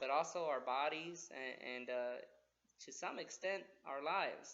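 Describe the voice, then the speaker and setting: A man's fairly high-pitched voice with an American accent, bright and sharp in tone, at a fairly slow pace. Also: ordinary pitch variation. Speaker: army officer. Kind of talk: talk to schoolchildren. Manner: halting, many fillers.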